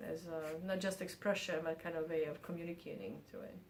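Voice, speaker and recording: Speaking with a Bosnian accent, a woman has a fairly low pitch. Audible room echo and noticeable background noise surround her. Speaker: artist and university professor. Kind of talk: interview. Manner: halting, many fillers.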